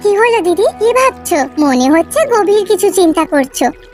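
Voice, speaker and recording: Over clear background music, a woman does a squeaky, cartoonish character voice at an extremely high pitch. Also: moderate pace. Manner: chatty, warm.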